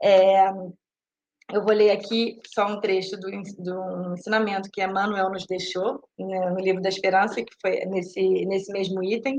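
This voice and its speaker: This woman has a medium pitch and a monotone, flat intonation at a fairly slow pace. Her loudness swings widely. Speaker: spiritist talk speaker. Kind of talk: lecture. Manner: halting, many fillers and repeats.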